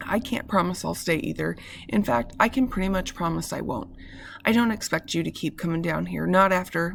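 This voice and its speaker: A put-on character voice, raspy and middle-pitched, moves at a fairly quick pace. Clear background noise is present. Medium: read story.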